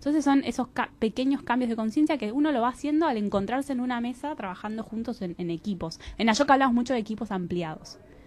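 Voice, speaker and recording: A woman's high-pitched voice, very fast, with hardly any pauses and lively intonation. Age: 30s. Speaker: social enterprise organization representative; interview guest. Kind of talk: radio interview. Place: studio.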